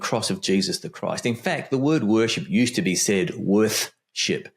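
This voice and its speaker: On a very clean recording with a silent background, a man talks at a moderate pace with hardly any pauses and very wide swings in pitch. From Australia (Melbourne). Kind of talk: casual interview conversation.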